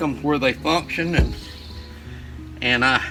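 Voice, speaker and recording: A man talks with an Alabama accent. His pitch varies in an ordinary way. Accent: Southern US (Alabama). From US South, northeast Alabama. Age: 60s. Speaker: craftsman. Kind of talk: casual chat. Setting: outdoors.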